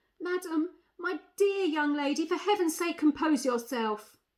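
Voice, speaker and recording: Woman shouting in a put-on character voice, squeaky and shaky, extremely high pitch, ordinary pitch variation, moderate pace. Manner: trembling, near-screaming plea.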